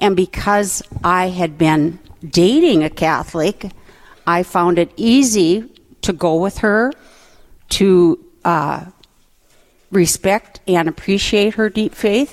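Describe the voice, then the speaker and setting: A woman at a medium pitch speaks at a very slow pace, with long, frequent pauses. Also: ordinary pitch variation, very even loudness. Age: 70s. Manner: warm, laughs often.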